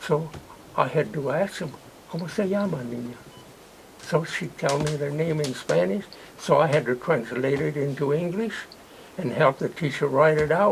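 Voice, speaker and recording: Against noticeable background noise, a man speaks at a moderate pace with a fairly high pitch. His pauses are long and frequent. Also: ordinary pitch variation. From California. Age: 80s+. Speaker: war veteran. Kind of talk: interview answer.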